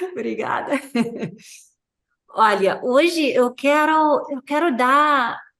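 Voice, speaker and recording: A woman speaks with an American accent at a very slow pace, her pitch high and her intonation lively. Room echo is audible. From United States. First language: English (speaking Portuguese). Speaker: clinical psychologist. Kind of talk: lecture. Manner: halting.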